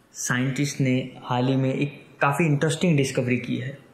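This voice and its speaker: Intonation stays fairly even. Noticeable background noise is present. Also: man. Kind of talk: educational science podcast talk. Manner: unscripted, some stammering.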